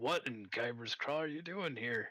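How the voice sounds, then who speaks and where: Here a man uses a put-on character voice. His pitch sits in the medium range. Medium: actual play.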